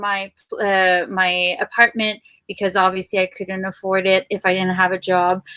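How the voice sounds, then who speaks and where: A woman speaks with a French accent at a fairly slow pace. Her medium-pitched voice has a bright, sharp tone. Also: dry, close sound with no echo. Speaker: podcast producer. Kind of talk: personal story in podcast chat.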